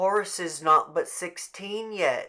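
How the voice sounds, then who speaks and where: A raspy, put-on character voice from a man, high-pitched and fairly slow. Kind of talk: rural folksy speech. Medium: read story. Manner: plain, resigned.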